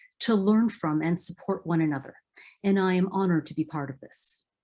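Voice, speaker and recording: A somewhat breathy woman speaks in a dark, mellow tone at a moderate pace. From Philippines. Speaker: event host. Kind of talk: event moderation. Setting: video call. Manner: formal.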